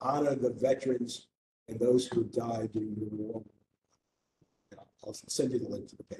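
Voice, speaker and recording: Dark, mellow tone and a somewhat breathy quality in a man's voice. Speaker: committee member. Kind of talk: meeting discussion. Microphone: muffled, hand over mouth.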